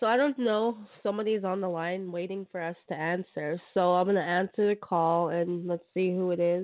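At a moderate pace with hardly any pauses, a woman speaks at medium pitch in an unremarkable speaking voice. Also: fairly even intonation. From Canada. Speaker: radio host. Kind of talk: radio hosting. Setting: phone call.

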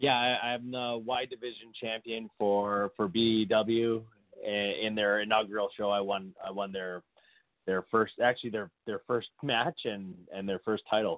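A plain, everyday voice with a Canadian accent and fairly even intonation. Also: man, fairly low pitch for a man. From Saskatchewan, Canada. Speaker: pro wrestler. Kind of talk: casual interview.

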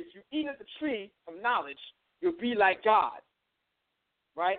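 An extremely high-pitched man's voice with a New York accent, very wide pitch swings and a fairly slow pace. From Long Island, New York. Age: 30s. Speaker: spiritual teacher and musician. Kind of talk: lecture. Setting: phone call.

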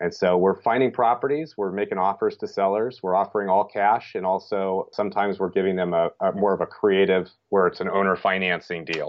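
A man speaks in a normal speaking voice at a fairly quick pace. He barely pauses, and his intonation is fairly even. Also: fairly low pitch for a man. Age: 50s. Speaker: real estate investor and coach. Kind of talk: interview.

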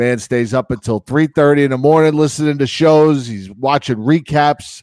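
In a normal speaking voice, a man with a fairly high pitch talks at a moderate pace, recorded dry and close with no echo. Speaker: radio show host. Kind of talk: casual chat.

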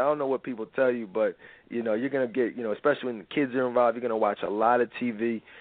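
Using an unremarkable speaking voice, a man talks at medium pitch with ordinary pitch variation. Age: 30s. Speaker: radio host and relationship counselor. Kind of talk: live talk radio monologue. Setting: live radio show. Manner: conversational, uses many fillers.

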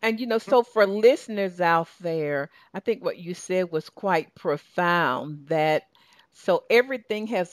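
With a southern Georgia accent, a woman talks at a fairly low pitch with ordinary pitch variation, her voice dry and close with no echo on a very clean recording with a silent background. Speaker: talk show host and success coach. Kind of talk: radio talk show interview. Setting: radio studio. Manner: animated.

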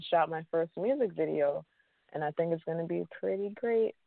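At a moderate pace, a woman speaks in a normal speaking voice, fairly low-pitched, with ordinary pitch variation. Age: 30s. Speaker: singer. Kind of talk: interview.

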